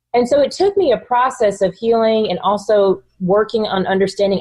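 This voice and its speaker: In an American accent, a woman speaks at a fairly quick pace, somewhat breathy, with ordinary pitch variation. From US South, North Texas. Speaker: author and entrepreneur. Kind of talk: interview conversation. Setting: podcast.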